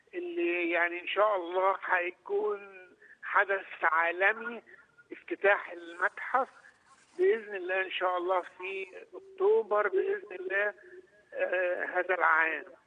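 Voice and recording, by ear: A man with vocal fry, very wide pitch swings and a high pitch, at a moderate pace, in a dry, close sound with no echo.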